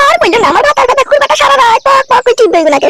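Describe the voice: A woman does a cartoonish character voice at an extremely high pitch, with big pitch swings, a fairly bright tone and a very fast pace, in a dry, close sound with no echo.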